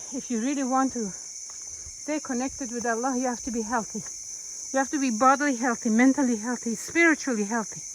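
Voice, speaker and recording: There is noticeable noise in the background. Over it, a woman talks fairly quickly. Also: ordinary pitch variation. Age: 70s. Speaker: Islamic teacher. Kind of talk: casual vlog talk while hiking. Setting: outdoors. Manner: halting.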